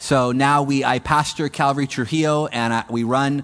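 Over a quiet background, a man with an American accent speaks in a plain, everyday voice at a medium pitch, his intonation fairly even. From California. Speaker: missionary church planter. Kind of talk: mission talk to a congregation. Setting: stage with audience.

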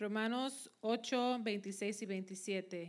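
Delivered at a fairly quick pace, the speech keeps fairly even intonation in a normal speaking voice. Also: woman. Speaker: scripture reader. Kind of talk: reading aloud.

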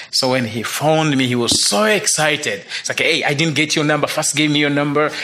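A man with a Ugandan accent speaks in a fairly high pitch. Noticeable background noise runs underneath. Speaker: missionary. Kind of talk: testimony. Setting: stage with audience.

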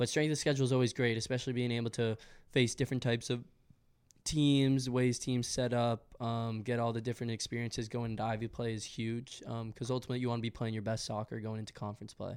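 In a monotone, flat intonation, a man of medium pitch talks at a very fast pace. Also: very clean recording, silent background. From Massachusetts, south of Boston. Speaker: college soccer player. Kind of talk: interview.

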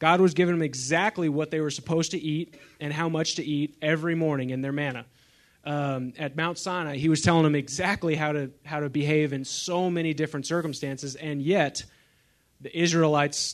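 A man with a plain, everyday voice, fairly quick pace and fairly even intonation. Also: fairly high pitch for a man. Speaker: equipping resident sharing. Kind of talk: short testimony in class.

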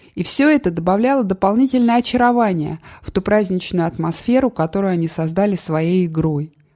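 With a dark, mellow tone, a woman speaks at a fairly quick pace. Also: medium pitch for a woman, lively intonation. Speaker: audiobook narrator. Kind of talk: literary audiobook reading, calm and measured memoir narration. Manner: reflective, subdued, steady cadence.

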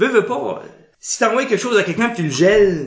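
A man with an Acadian accent, plus audible room echo. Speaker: improviser. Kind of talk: casual interview.

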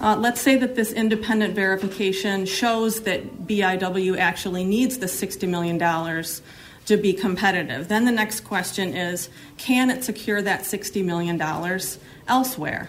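A woman talks in a normal speaking voice at a fairly slow pace. Her pitch sits in the medium range and varies in an ordinary way. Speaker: citizen testifying at hearing. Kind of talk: public testimony. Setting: legislative hearing room.

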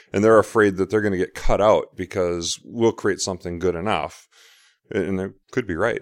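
With an ordinary speaking voice, a man talks at a moderate pace and a fairly low pitch, his intonation fairly even, in a very clean recording with a silent background and a dry, close sound with no echo. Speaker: software developer and conference speaker. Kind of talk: casual interview. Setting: hotel suite at a conference.

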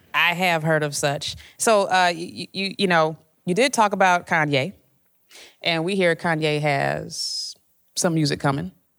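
In a very clean recording with a silent background, a woman with an American accent speaks fairly slowly in an unremarkable speaking voice, fairly low in pitch with ordinary pitch variation. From Chicago. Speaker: music journalist interviewer. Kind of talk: onstage interview. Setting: stage with audience.

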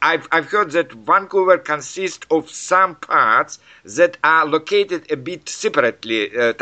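A man with a Russian accent speaks at a fairly slow pace and a fairly high pitch. His intonation is lively, and there is vocal fry in his voice. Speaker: English learner interviewer. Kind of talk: casual chat. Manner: halting.

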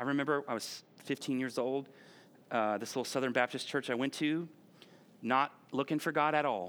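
In a normal speaking voice, a man talks at a medium pitch and moderate pace with fairly even intonation. The recording is very clean, with a silent background. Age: 40s. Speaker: pastor. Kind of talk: sermon. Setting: church. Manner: conversational.

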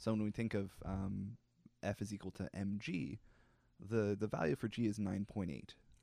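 A man speaks at a fairly low pitch with a dark, mellow tone. His pace is moderate. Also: fairly even intonation. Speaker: podcast co-host. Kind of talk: casual explainer chat.

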